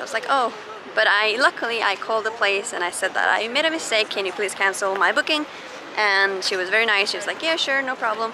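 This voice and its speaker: A woman talks at a very fast pace with ordinary pitch variation. The sound is dry with no echo, though there is noticeable background noise. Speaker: vlogger. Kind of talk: casual vlog chat. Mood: amused, laughing at own mistake. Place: street. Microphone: phone near.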